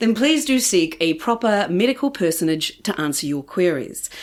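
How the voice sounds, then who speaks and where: A woman with a New Zealand accent at a fairly quick pace, with very wide pitch swings. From New Zealand, Christchurch. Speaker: podcast host. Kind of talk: scripted intro; podcast interview. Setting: guest's home.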